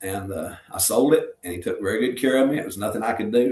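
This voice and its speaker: A man's speech comes at a fairly quick clip in a Southern US accent. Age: 60s. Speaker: retired pro wrestler and pastor. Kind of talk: interview. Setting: podcast interview. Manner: casual, storytelling.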